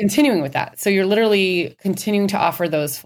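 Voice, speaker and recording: A woman speaks with an American accent in a plain, everyday voice. Her pace is fairly quick, with ordinary pitch variation. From Minnesota. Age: 30s. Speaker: dietitian. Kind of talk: interview.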